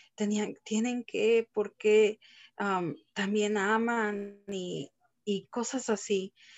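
Speaking very slowly, a woman keeps a medium pitch and fairly even intonation. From Texas, Mexican family from Guanajuato. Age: 30s. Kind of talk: testimony.

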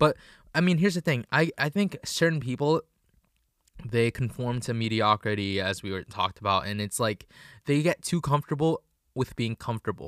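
Over a very clean recording with a silent background, a man speaks at a fairly quick pace with a medium pitch and lively intonation. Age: 20s. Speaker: podcast co-host. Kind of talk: casual chat.

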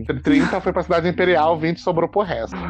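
A man talks with music playing in the background. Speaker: podcast host, film reviewer. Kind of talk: casual chat. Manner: fast.

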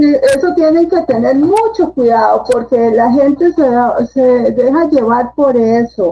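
Speaking very slowly yet with hardly any pauses, a woman keeps her loudness very even while her high-pitched voice carries lively intonation. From Costa Rica. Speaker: book editor and publisher. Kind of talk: casual interview. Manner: hesitant, many fillers.

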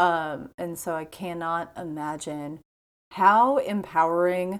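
A woman speaks at a medium pitch. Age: 30s. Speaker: podcast host. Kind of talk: solo podcast monologue. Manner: casual, rambling with fillers.

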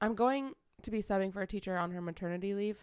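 On a very clean recording with a silent background, a woman talks at medium pitch with ordinary pitch variation. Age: 20s. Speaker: podcast co-host, substitute teacher. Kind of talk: casual chat.

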